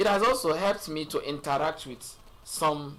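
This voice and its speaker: A man with a Nigerian accent speaks at a fairly high pitch with lively intonation. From Nigeria, Igbo. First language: Igbo. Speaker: interview guest, businessman. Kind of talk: interview.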